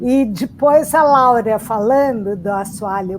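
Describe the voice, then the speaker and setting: A woman with a fairly high voice speaks very slowly. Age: 60s. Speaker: writer. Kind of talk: panel discussion.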